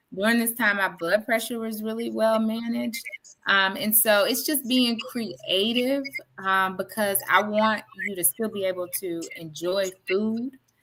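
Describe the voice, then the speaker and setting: Fairly high female speech, fairly slow in pace and ordinary in pitch variation. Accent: Southern US. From South Carolina, Sumter. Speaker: diabetes educator and occupational therapist. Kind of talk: educational presentation in podcast interview. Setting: livestream video call.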